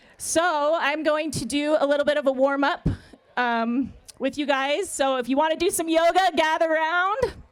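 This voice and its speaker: This woman talks loudly at a moderate pace, her high pitch moving with ordinary pitch variation. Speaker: yoga therapist. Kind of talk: speech then guided yoga warm-up.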